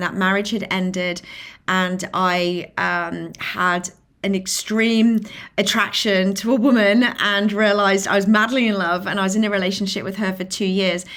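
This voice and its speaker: A woman with a strong British accent, medium-pitched and flat in a monotone, at a moderate pace, on a very clean recording with a silent background. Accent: British, still strong after decades in US. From England, Lincolnshire. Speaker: filmmaker and inclusion advocate. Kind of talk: podcast interview.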